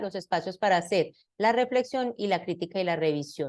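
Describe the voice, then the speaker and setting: Against a quiet background, a woman at medium pitch with ordinary pitch variation has an unremarkable speaking voice. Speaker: university lecturer in science education. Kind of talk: lecture.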